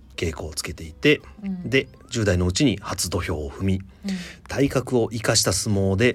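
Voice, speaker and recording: Here a man talks at a moderate pace with lively intonation. His voice is fairly low and somewhat breathy. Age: 30s. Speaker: podcast host. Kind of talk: casual chat; storytelling.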